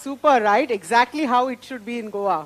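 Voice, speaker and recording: A woman at a fairly slow pace with very wide pitch swings, dry, close sound with no echo, and noticeable background noise. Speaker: social entrepreneur and speaker. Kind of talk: motivational talk. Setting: stage with audience.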